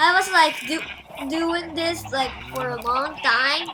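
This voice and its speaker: A woman uses a raised, projected voice at an extremely high pitch, with lively intonation and a very slow pace, as music plays in the background. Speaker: gamer YouTuber. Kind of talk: gameplay commentary. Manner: halting.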